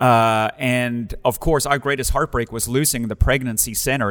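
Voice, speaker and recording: With a South African accent, a man speaks at a medium pitch and a moderate pace, his intonation fairly even. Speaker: pastor. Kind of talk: casual interview chat.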